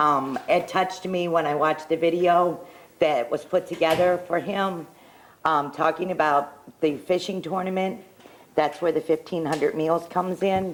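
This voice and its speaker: A woman's fairly low voice at a moderate pace, with fairly even intonation and very even loudness. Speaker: local restaurant owner, sponsor. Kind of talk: casual chat on live telethon.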